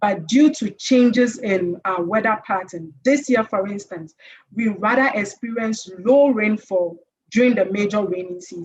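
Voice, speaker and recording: A woman speaks in a Ghanaian accent at a fairly slow pace, her voice somewhat breathy. Her pitch is medium, with ordinary variation. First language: Twi. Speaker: conference panelist. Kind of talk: conference presentation.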